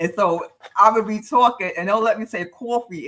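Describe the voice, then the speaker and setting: A woman talks in a New York accent with an animated tone. Her pitch is fairly high and her pace moderate. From New York City, Harlem. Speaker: podcast co-host. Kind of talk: casual chat.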